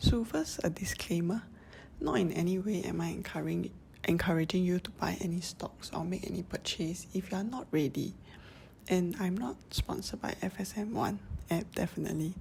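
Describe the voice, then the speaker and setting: Moderate pace in a Singaporean accent. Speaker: personal finance YouTuber. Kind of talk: casual app tutorial voice-over.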